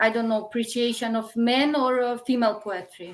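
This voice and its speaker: Speaking with a Macedonian accent, a woman keeps her fairly high pitch in fairly even intonation. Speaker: poet. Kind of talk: interview. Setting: online live stream. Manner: hesitant.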